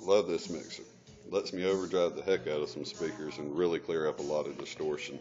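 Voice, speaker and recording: Faint music plays behind the speech. The speaker is a man. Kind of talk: casual show-and-tell tour. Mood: proud, enthusiastic. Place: home room. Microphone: phone near.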